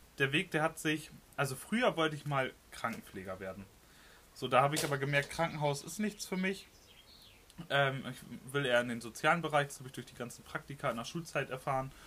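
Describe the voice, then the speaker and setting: A man's fairly high voice at a fairly quick pace, full of lively intonation. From northern Germany. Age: 20s. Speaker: emergency response team leader. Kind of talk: casual chat. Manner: hesitant, many fillers.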